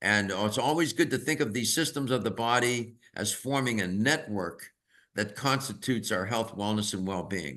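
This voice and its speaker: The speaker is a man with a medium pitch. His tone is bright and sharp. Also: ordinary pitch variation, moderate pace. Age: 80s+. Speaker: health expert on aging. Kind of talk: webinar presentation. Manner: explanatory.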